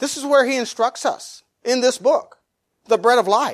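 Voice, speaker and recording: A man with a high pitch speaks at a moderate pace. The recording is very clean, with a silent background. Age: 50s. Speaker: pastor. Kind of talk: sermon.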